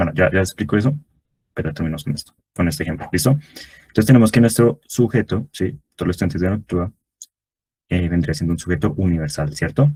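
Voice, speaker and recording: A man talks at a fairly quick pace in a very deep, low voice with a dark, mellow tone, somewhat breathy and with lively intonation. The sound is dry and close, with no echo. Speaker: tutor. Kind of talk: online review class. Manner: fast.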